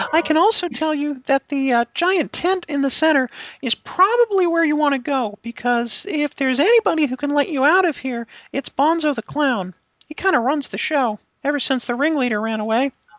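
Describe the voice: A put-on character voice rattles along at a fairly quick pace. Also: man, extremely high pitch for a man.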